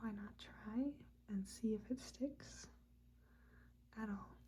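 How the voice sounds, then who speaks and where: The speaker is soft-spoken. The pace is very slow. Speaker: ASMR creator. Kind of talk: casual ramble to camera, ASMR video.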